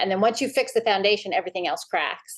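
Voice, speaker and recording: A woman speaks at a very fast pace. Her background is quiet. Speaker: reality TV contestant, homeschool mom. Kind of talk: interview. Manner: animated.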